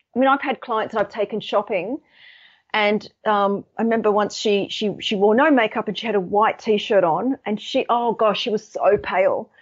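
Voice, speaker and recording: Speaking with an Australian accent, a woman uses a fairly high pitch at a moderate pace. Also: ordinary pitch variation. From Australia, Sydney. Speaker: colour psychology author and consultant. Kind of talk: interview.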